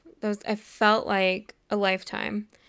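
Against a silent background in a very clean recording, a woman with an American accent uses a normal speaking voice at medium pitch and a fairly slow pace. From Los Angeles area, US. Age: 20s. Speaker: podcaster and YouTuber. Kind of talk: solo monologue. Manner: casual, filler-heavy.

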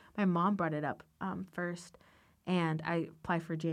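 A woman speaks in a plain, everyday voice with fairly even intonation. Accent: American. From US, Northern Virginia (Loudoun County). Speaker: college student and dancer. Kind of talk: casual interview testimony.

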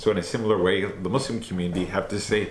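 With audible room echo, a man speaks at a very fast pace in a somewhat breathy voice, with a fairly low pitch and ordinary pitch variation. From Canada. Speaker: anti-racism organization representative. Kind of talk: interview.

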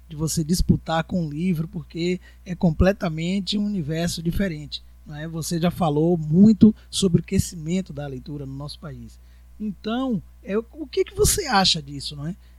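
Spoken at a moderate pace, the voice shows big swings in loudness. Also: man. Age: 40s. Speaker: podcast host and educator. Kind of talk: casual interview chat.

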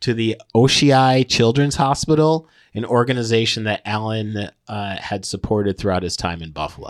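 An unremarkable speaking voice from a man with an American accent, medium pitch, ordinary pitch variation and a moderate pace, in a dry, close sound with no echo. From upstate New York. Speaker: comedian and podcast co-host. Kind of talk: casual chat. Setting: studio.

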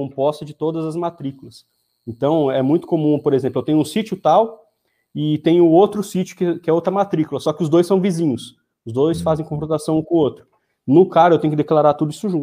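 A fairly quick man's voice, fairly high in pitch, with a dark, mellow tone and ordinary pitch variation. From interior of São Paulo state, Brazil. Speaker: rural property lawyer. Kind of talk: live-stream interview.

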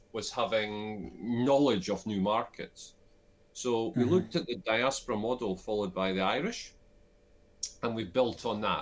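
At a moderate pace, this speaker talks with a Scottish Borders accent, leaving long, frequent pauses. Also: man. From Scotland, Scottish Borders (Selkirk). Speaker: business advisor and investor. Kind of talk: interview.

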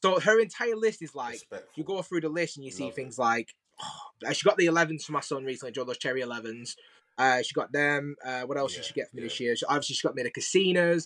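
Fast and lively, a man with a Lancashire accent speaks at a very fast pace and a fairly high pitch, his loudness swinging a lot. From Preston, northern England. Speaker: sneaker influencer. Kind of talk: casual chat.

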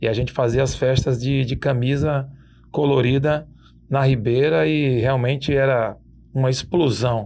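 On a very clean recording with a silent background, a man has an ordinary speaking voice at medium pitch, with fairly even intonation and very even loudness. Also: fairly slow pace. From Itabuna, southern Bahia, Brazil. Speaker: radio presenter. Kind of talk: casual interview.

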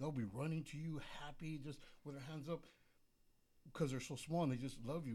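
His tone dark and mellow, a man speaks somewhat breathily at a fairly quick pace. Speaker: magazine sponsor. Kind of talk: casual chat. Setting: studio.

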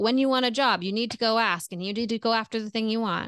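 A woman talks at a fairly quick pace in an unremarkable speaking voice, fairly high in pitch, with fairly even intonation. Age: 40s. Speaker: relationship coach. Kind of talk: casual chat.

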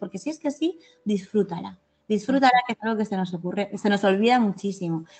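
A medium-pitched woman at a fairly quick pace, with music in the background. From Spain, Valencia. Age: 50s. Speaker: novelist. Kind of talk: interview. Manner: halting.

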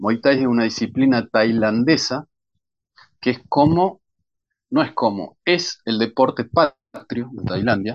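With ordinary pitch variation, a man speaks at a medium pitch and a fairly slow pace. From Argentina, Bahía Blanca. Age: 40s. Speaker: crime novelist. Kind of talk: interview.

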